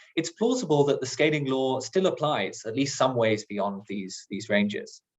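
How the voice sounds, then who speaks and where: A man at medium pitch sounds somewhat breathy, his pitch swinging very widely. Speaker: planetary science researcher. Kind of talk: lecture. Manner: fast.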